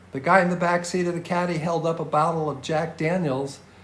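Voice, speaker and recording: Fairly high male speech with audible echo from the room and noticeable noise behind it. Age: 70s. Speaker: podcast host. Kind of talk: scripted narration.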